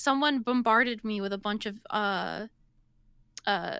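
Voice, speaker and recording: A woman speaks very slowly with fairly even intonation on a very clean recording with a silent background. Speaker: pony VTuber and streamer. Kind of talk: podcast interview. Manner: halting, many fillers and restarts.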